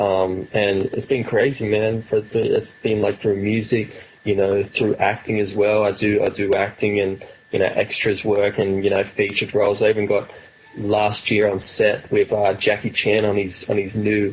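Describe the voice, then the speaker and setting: Over noticeable background noise, a man with an Australian accent speaks at a moderate pace, his loudness very even and his intonation monotone and flat. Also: fairly low pitch for a man. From Australia, New South Wales. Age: 20s. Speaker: rapper. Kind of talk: interview. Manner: casual, filler-heavy.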